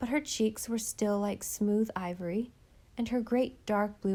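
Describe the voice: This is plain reading aloud. The clip is plain reading aloud throughout.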